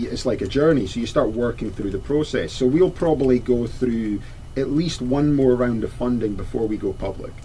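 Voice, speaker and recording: A man with a Scottish accent at medium pitch, moderate pace and hardly any pauses, over noticeable background noise. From Scotland. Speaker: company founder and CEO. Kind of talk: radio interview. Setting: radio studio.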